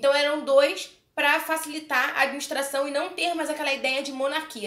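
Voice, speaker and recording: The speaker has a Brazilian accent, with noticeable background noise and audible room echo in the recording. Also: woman. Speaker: history teacher. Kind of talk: online lecture. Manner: casual, conversational.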